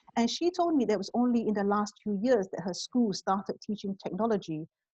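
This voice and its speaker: A woman speaks at a fairly quick pace, somewhat breathy, with a fairly high pitch and lively intonation. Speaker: fintech executive. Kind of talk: interview conversation. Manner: hesitant, many fillers.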